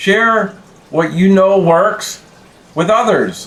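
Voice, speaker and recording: Over noticeable background noise, a man talks at a fairly slow pace in a high pitch. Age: 60s. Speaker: YouTube creator. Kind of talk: casual vlog talk. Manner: halting, with fillers and repeats.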